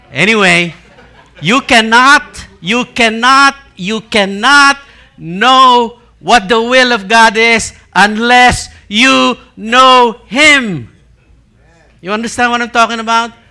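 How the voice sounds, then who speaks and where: A man with a Filipino accent, extremely high-pitched, in a raised, projected voice with a bright, sharp tone, very slow pace, ordinary pitch variation and long, frequent pauses. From Philippines. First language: Tagalog. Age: 60s. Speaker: preacher. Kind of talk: sermon. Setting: church with congregation. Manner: interactive call-and-response.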